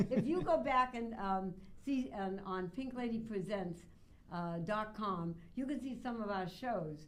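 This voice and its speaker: Lively intonation carries through audible room echo at a fairly slow pace. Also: woman, fairly high pitch for a woman. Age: 80s+. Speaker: radio host. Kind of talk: interview. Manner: animated.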